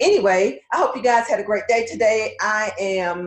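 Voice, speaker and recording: An unremarkable speaking voice from a woman, fairly slow in pace, with lively intonation. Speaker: career coach and podcast host. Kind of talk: live stream talk.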